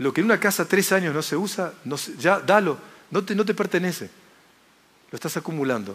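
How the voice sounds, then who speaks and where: Speaking at a moderate pace, a man uses a high pitch with ordinary pitch variation. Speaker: speaker. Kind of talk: motivational lecture. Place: hall. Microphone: headset.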